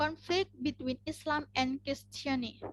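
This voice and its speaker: With an Indonesian accent, a high-pitched woman talks at a fairly slow pace with fairly even intonation, in a very clean, dry, close recording with a silent background and no echo. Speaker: university student. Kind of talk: class presentation. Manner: halting.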